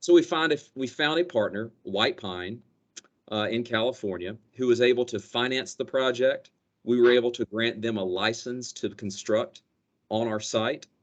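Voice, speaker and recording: At a moderate pace, a man talks with a slight Southern US accent. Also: medium pitch for a man, ordinary pitch variation. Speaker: company energy director. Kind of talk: business presentation.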